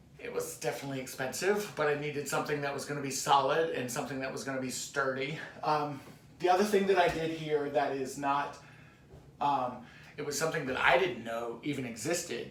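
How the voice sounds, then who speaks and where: A man's fairly high voice at a fairly quick pace with ordinary pitch variation, amid audible room echo and noticeable background noise. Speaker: DIY crafts YouTuber. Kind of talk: home tour tutorial. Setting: in his home kitchen. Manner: fast; casual, filler-heavy.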